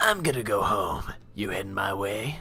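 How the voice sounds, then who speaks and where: A man's raspy, put-on character voice at a medium pitch and a moderate pace. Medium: game stream. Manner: terse, gruff.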